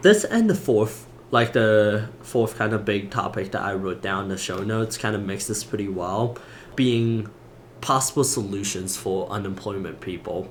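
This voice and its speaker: Someone with a non-native accent speaks at a moderate pace with fairly even intonation, and audible room echo can be heard. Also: man, fairly low pitch for a man. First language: not English. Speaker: podcast co-host. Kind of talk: casual chat.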